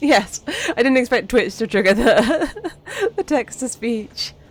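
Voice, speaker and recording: A woman talks at a fairly slow pace while noticeable background noise carries on behind her. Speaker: vtuber streamer. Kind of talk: live game stream chat. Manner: casual, repetitive, stammering.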